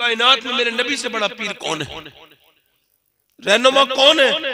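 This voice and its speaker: A man speaks in a raised, projected voice. His tone is passionate and his intonation lively. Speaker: Islamic preacher giving a religious sermon. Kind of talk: religious sermon to a crowd, emotional preaching. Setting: public gathering, jalsa audio. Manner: passionate, emotional, rhetorical, addressing audience directly.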